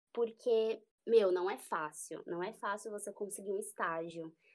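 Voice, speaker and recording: On a very clean recording with a silent background, an unremarkable speaking voice moves at a fairly slow pace with ordinary pitch variation. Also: woman. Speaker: journalist, beauty and health reporter. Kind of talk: casual chat.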